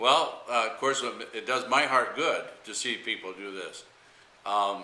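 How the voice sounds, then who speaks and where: With an American accent, a man talks at a fairly slow pace, his loudness swinging widely amid audible room echo. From Michigan. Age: 60s. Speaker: pastor. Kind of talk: interview. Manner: halting, many fillers.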